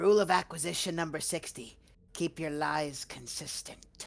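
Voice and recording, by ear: The put-on character voice sits at a middle pitch and moves at a moderate pace.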